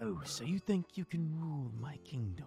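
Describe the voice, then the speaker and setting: A whispered, put-on character voice moves at a moderate pace with clear music in the background. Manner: soothing, calm, whispering.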